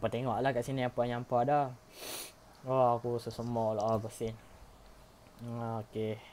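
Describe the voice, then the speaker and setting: A man talks at a moderate pace in a flat, monotone intonation. He leaves long pauses, and often. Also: medium pitch for a man. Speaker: gaming YouTuber. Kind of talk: tutorial. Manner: casual, filler-heavy.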